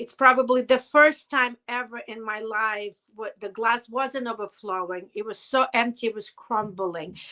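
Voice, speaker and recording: Speaking with a Russian accent at a fairly slow pace, a woman has a bright, sharp tone and a fairly high pitch, with ordinary pitch variation, big swings in loudness, and hardly any pauses. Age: 50s. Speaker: hairdresser and business owner, chronic pain survivor. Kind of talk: interview testimony. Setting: podcast interview. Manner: emotional, halting.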